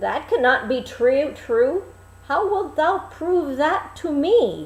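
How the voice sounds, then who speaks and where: Putting on a character voice, a woman speaks at a very slow pace with a high pitch and very wide pitch swings, against light background noise. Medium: read story. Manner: archaic, formal.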